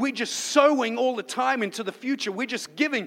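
A man projects his raised voice at an extremely high pitch with a bright, sharp tone. His pace is moderate. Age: 30s. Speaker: pastor. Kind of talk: sermon.

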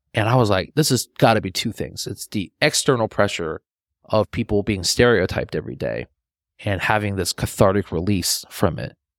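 A man speaks with lively intonation and vocal fry. The recording is very clean, with a silent background and a dry, close sound with no echo. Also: fairly low pitch for a man, moderate pace. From China. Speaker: filmmaker. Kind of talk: casual chat.

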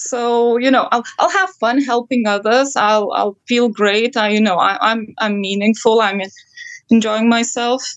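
A woman with an unremarkable speaking voice talks at a fairly slow pace and fairly high pitch, with ordinary pitch variation and very even loudness. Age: 30s. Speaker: counseling guest. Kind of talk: counseling session.

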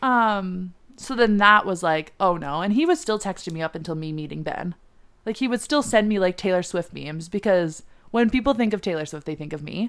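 An unremarkable speaking voice from a woman, medium in pitch, with lively intonation at a fairly quick pace on a very clean recording with a silent background. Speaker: podcast guest, host's best friend. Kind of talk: casual chat.

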